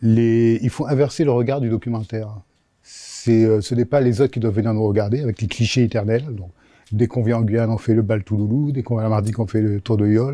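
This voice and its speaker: At a very fast pace, a man with a medium pitch and a dark, mellow tone keeps his intonation fairly even. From Africa (Senegal, Gabon, Cameroon, Madagascar). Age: 60s. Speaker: regional TV network director. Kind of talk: interview. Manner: hesitant with frequent fillers.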